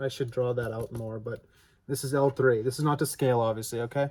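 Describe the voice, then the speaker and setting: Somewhat breathy and dark, mellow in tone, a man talks at a medium pitch with ordinary pitch variation. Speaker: father explaining science to his daughter. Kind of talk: casual talk to camera. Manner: stuttering, halting.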